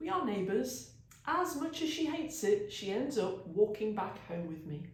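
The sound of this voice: Passage delivered in an unforced reading voice.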